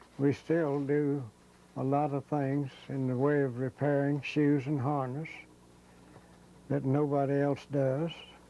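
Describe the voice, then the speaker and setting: A man with an Appalachian accent, fairly high in pitch, at a fairly slow pace, over noticeable background noise. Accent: Southern US (Appalachian). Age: 80s+. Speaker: shoe repair shop owner. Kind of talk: interview reminiscence.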